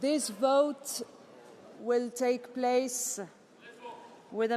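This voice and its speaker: Over noticeable background noise, a woman talks at a very slow pace in a high pitch. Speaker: parliament session chair. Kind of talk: formal procedural announcements. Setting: parliament plenary chamber.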